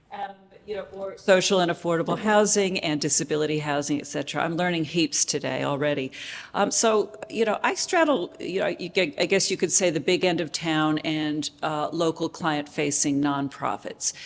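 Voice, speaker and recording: A woman with an American accent has an unremarkable speaking voice, a fairly low pitch, ordinary pitch variation and a moderate pace. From United States. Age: 50s. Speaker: housing finance expert, panellist. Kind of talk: panel discussion.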